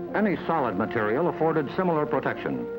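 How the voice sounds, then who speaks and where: Over background music, a man with a fairly high voice talks at a moderate pace, his pitch swinging very widely. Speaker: broadcast journalist. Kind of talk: government documentary narration. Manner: measured.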